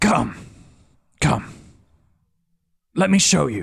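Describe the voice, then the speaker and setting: Using a raspy put-on character voice, a man talks at a fairly high pitch. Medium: actual play. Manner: calm, measured.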